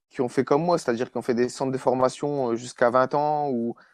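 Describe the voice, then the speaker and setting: A man talks at a medium pitch with fairly even intonation. The sound is dry and close with no echo, over a quiet background. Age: 20s. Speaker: amateur footballer. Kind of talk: casual chat. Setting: podcast recording. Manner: halting.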